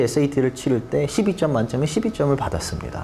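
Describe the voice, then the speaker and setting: With very wide pitch swings, a man speaks at a moderate pace amid audible room echo and noticeable background noise. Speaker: SAT tutor. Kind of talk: lecture.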